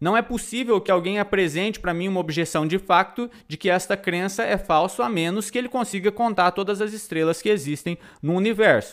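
The recording is very clean, with a silent background. A man talks at a fairly quick pace with a high pitch. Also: ordinary pitch variation, hardly any pauses. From Brazil, Tocantins. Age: 30s. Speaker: podcast host. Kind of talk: philosophy lecture. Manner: animated.

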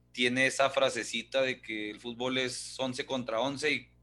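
Bright, sharp tone from a man at a medium pitch over a quiet background. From Ciudad Juárez, Mexico. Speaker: podcast host. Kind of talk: casual chat.

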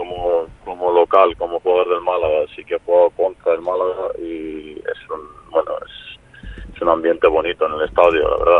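Speaking at a moderate pace with hardly any pauses, a man with a Serbian accent shows big swings in loudness amid noticeable background noise. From Serbia, raised partly in Spain. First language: Serbian (speaking Spanish). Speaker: professional footballer. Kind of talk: interview.

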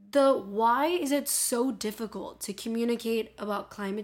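Her pitch fairly high and its variation ordinary, a woman speaks with a Miami accent. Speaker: podcast host about climate change. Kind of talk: casual solo podcast monologue. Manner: chatty, humorous, animated.

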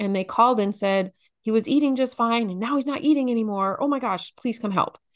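A woman with a normal speaking voice and a fairly high pitch talks at a fairly quick pace with ordinary pitch variation against a quiet background. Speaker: nurse and parenting educator.

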